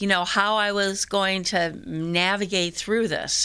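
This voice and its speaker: Recorded very cleanly over a silent background, a woman speaks with a bright, sharp tone. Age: 60s. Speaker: church member giving testimony. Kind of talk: testimony. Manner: halting.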